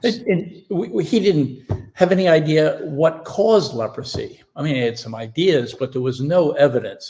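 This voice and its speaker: Speaking at a moderate pace with hardly any pauses, a man uses a normal speaking voice, fairly high in pitch, with lively intonation. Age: 60s. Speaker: author. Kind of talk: interview.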